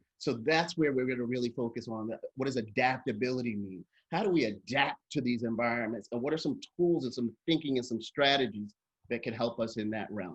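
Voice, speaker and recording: A man with an American accent at a medium pitch, with ordinary pitch variation and a fairly quick pace. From New York. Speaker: workshop facilitator, nonprofit strategy consultant. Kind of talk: workshop presentation. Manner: fast.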